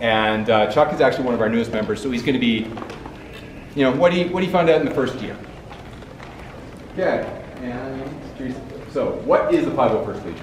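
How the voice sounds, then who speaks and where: Amid noticeable background noise and audible room echo, a man with a Canadian accent speaks at a medium pitch and a fairly quick pace, with ordinary pitch variation and long, frequent pauses. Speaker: convention panel moderator. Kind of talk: convention panel presentation. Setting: stage with audience, no mic. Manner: loud.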